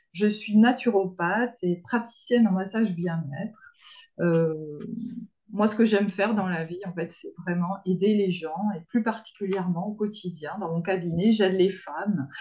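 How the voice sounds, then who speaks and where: Somewhat breathy and dark, mellow in tone, a woman speaks at a fairly slow pace with a medium pitch. Her loudness swings widely. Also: ordinary pitch variation. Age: 50s. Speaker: naturopath. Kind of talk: webinar presentation.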